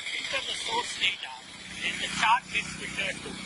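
Loud background noise runs through the clip. The speech moves at a moderate pace. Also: man. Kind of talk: casual vlog chat and tutorial. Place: street.

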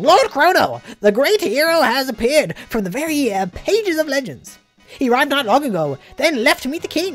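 With faint music in the background, a woman speaks fairly quickly in a put-on character voice at a high pitch.

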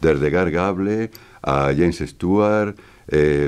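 A man's very deep, low voice with vocal fry and ordinary pitch variation. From Spain. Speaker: voice actor. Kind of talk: interview answer. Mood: warm, nostalgic. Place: studio.

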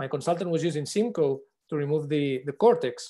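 Over a quiet background, a man with a fairly high pitch speaks in a dark, mellow tone with ordinary pitch variation. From Spain, Barcelona; Catalonia, Spain. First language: Spanish or Catalan. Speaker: eye surgeon, instructor; instructor. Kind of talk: online panel discussion. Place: home room. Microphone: video call.

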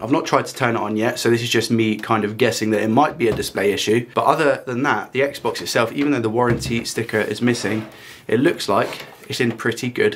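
A man speaks at a fairly quick pace with ordinary pitch variation. Light background noise sits behind him. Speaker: hobby repair youtuber. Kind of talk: tutorial. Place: home room.

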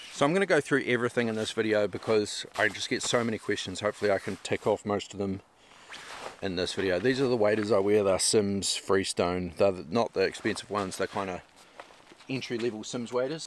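In a normal speaking voice, a man talks at a fairly quick pace with a fairly low pitch and ordinary pitch variation over light background noise. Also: dry sound with no echo. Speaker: fishing vlogger. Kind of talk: casual vlog chat. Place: open country.

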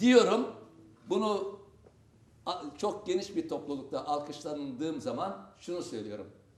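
A man's high voice, fairly slow, with long, frequent pauses, very wide pitch swings, big swings in loudness and noticeable background noise. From Adana, Turkey. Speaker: theatre actor. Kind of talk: TV talk show guest remarks.

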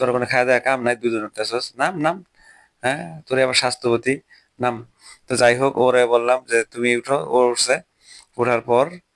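A plain, everyday voice from a man at a medium pitch, with fairly even intonation and very even loudness, in a dry, close sound with no echo. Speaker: vlogger and teacher. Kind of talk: travel vlog narration. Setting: outdoors on a cycling trip. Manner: casual, conversational.

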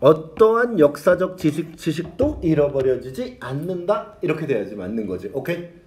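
A man with a fairly high pitch speaks at a moderate pace in an animated tone, his loudness swinging widely amid noticeable background noise. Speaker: English teacher. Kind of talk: lecture. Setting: classroom with students.

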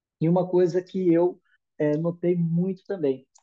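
Against a quiet background, a man speaks in a Brazilian accent. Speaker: product user giving testimonial. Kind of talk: testimony. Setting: video call, live. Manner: hesitant, repeats words. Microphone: video call.

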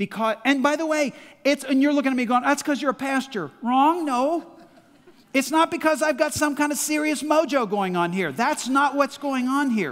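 At a moderate pace, a man speaks with an extremely high voice and ordinary pitch variation. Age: 60s. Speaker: pastor. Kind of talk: sermon. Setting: church. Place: church. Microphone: headset.

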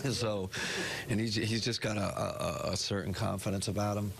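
A man at a moderate pace, fairly even intonation, with noticeable background noise behind him. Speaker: basketball head coach. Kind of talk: press conference answers. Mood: calm, pleased after win. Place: hall.

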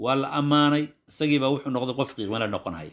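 A man with a Somali accent at a very fast pace, medium in pitch, with lively intonation, on a very clean recording over a silent background. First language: Somali (speaking Arabic). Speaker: Islamic scholar teaching a text. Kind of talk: religious lesson.

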